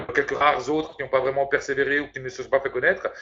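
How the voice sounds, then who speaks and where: The pace is very fast. A man is talking. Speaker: network marketing presenter. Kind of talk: sales pitch. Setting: video conference.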